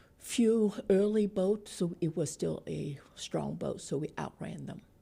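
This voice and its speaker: A woman speaks with a Vietnamese accent. Her pace is very slow. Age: 60s. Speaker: political activist, refugee. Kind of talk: interview.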